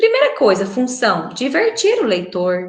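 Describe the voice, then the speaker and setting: There is noticeable background noise behind the woman speaking. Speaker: schoolteacher. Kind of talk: recorded online lesson. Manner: fast.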